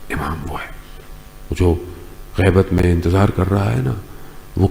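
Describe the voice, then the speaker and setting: There is noticeable background noise behind a man whose pitch is very deep and low. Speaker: Islamic scholar giving a sermon. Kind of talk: religious sermon, Urdu bayan. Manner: passionate, emphatic, code-switching between Urdu and English.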